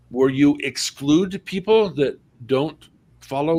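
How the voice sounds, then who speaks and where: A plain, everyday voice with lively intonation in a very clean recording with a silent background. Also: man. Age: 60s. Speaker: discussion guest. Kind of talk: casual discussion. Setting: livestream.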